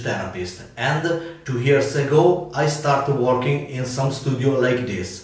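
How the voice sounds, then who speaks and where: A man with an Italian accent speaks at a fairly high pitch with ordinary pitch variation. His pace is fairly slow, and there is audible room echo. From Italy. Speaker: massage therapist. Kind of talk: casual talk to camera. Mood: smiling, friendly. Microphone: camera far.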